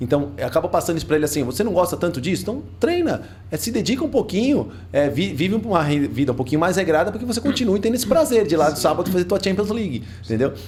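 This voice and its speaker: A man's high-pitched voice at a very fast pace, with very wide pitch swings and noticeable background noise. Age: 40s. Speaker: gym podcast host. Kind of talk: casual chat.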